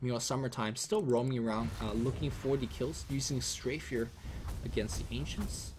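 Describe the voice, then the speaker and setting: A man's somewhat breathy, medium-pitched voice at a fairly quick pace, with ordinary pitch variation. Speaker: esports commentator. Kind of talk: live commentary. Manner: fast; animated.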